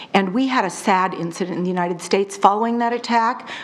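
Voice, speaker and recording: Noticeable background noise accompanies a woman who talks very fast. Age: 50s. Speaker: resident speaking at public comment. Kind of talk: public comment at city council meeting. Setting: city council meeting. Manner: halting, many fillers.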